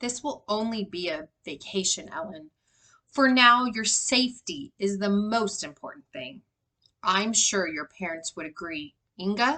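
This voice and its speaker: A woman puts on a raspy character voice at medium pitch, talking at a moderate pace with lively intonation. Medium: read story.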